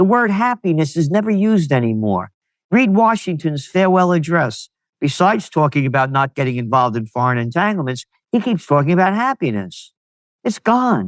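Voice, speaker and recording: With a New York accent, a man speaks at a high pitch with very wide pitch swings, in a dry, close sound with no echo. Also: fairly quick pace, quiet background. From US Northeast (New York, Bronx). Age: 70s. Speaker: trend forecaster and publisher. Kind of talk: interview. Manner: animated.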